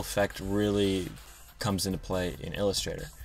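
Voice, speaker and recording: Music plays in the background as a man talks at a fairly quick pace in a fairly low pitch. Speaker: graphic design tutorial youtuber. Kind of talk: software tutorial. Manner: fast; casual with filler words.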